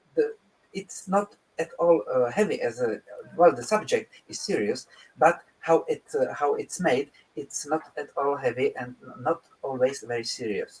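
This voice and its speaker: A man speaks with a Czech accent. His pace is fairly slow. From Czech Republic. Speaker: composer. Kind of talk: interview. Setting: live online broadcast. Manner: halting, many fillers and restarts.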